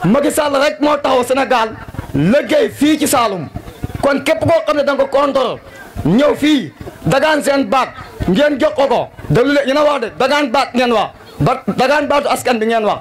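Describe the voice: Over faint background noise, a man talks at an extremely high pitch with lively intonation, a moderate pace and few pauses.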